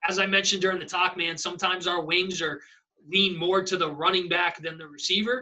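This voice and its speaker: The speech runs at a fairly quick pace with fairly even intonation and big swings in loudness. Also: man, high pitch for a man. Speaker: football coach. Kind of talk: presentation wrap-up chat. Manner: fast.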